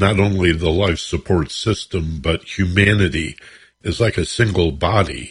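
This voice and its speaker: Against a quiet background, a man with a fairly low pitch and a somewhat breathy voice talks at a fairly slow pace with ordinary pitch variation. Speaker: radio host. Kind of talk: radio interview. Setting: radio studio.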